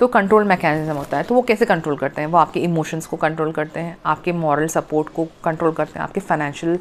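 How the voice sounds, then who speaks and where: A woman's fairly low pitch, ordinary pitch variation and moderate pace. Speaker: spiritual healer and coach. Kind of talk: talk to camera, self-help explainer. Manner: frequent fillers and hesitations.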